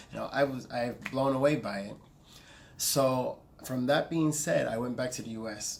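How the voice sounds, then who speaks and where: A man speaks at a moderate pace and medium pitch, his intonation fairly even but his loudness swinging widely. Music plays in the background. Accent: American. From US South, Augusta, Georgia. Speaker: vlogger. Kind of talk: casual vlog monologue. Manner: rambling, self-correcting.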